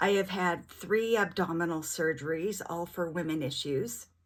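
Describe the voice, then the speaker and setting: On a very clean recording with a silent background, a woman speaks at a fairly slow pace in a normal speaking voice, fairly low in pitch with ordinary pitch variation. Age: 50s. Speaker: vlogger living with rheumatoid arthritis. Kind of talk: casual vlog monologue.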